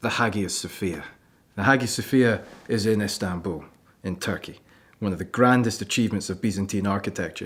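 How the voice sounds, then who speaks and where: This man has a Scottish accent and a fairly low voice. He speaks at a fairly quick pace, with long, frequent pauses. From Scotland. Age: 20s. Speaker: archaeology student. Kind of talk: presentation. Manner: animated.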